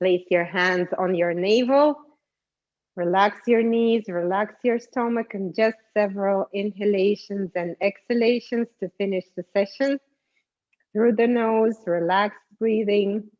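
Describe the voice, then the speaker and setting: A woman talks at a fairly slow pace with a normal speaking voice and medium pitch. Her intonation stays fairly even. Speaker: yoga instructor. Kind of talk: guided yoga session. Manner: calm, slow instructions.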